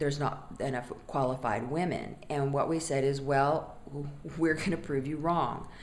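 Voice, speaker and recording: A woman's very deep, low voice with an American accent, fairly even intonation and a moderate pace, amid audible room echo and noticeable background noise. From US West Coast. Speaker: non-profit board member. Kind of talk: testimonial. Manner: conversational, some fillers.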